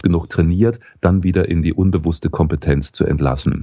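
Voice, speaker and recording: This man has a very deep, low voice with ordinary pitch variation. His pace is moderate. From Saxony, Dresden. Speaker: voice coach and former radio newsreader. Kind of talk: interview. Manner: calm, guided exercise pace.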